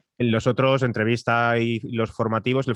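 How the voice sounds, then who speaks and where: A man at a medium pitch is heard in a dry, close sound with no echo. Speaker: podcast producer and voice-over announcer. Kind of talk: masterclass lecture. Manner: fast.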